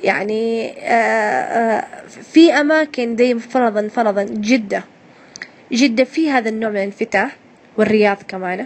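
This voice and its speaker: Over noticeable background noise, a woman with a Hejazi accent speaks at a fairly slow pace and a fairly high pitch. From Hejaz, Saudi Arabia. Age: 20s. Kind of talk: casual interview answer. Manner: hesitant, conversational.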